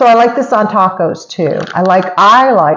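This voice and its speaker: Lively intonation from a woman at a medium pitch. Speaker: cooking demo vlogger. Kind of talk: cooking tutorial. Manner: fast; chatty, casual.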